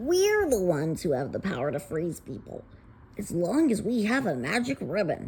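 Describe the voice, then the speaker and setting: A female-sounding put-on character voice sits at a middle pitch and a moderate pace. There is clear background noise. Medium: read story. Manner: sneering, bossy.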